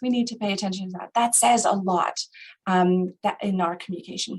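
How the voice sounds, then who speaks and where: Fairly even intonation in a woman's somewhat breathy voice. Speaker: grief counselor. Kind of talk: webinar presentation. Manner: hesitant, many fillers.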